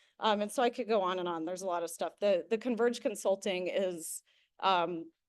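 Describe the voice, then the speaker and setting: At a fairly quick pace, a woman speaks at medium pitch with ordinary pitch variation over a quiet background. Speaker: nonprofit policy trainer. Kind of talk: workshop presentation. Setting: meeting room with hybrid online audience. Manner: fast.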